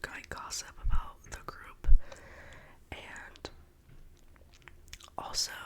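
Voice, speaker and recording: A woman whispering at a very slow pace, with music in the background. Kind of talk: ASMR whisper gossip ramble. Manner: whispered.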